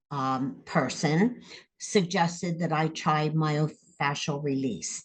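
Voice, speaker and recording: A woman speaks at a very slow pace in a very deep, low voice that is somewhat breathy. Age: 70s. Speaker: interviewee, therapy client. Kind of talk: interview testimony.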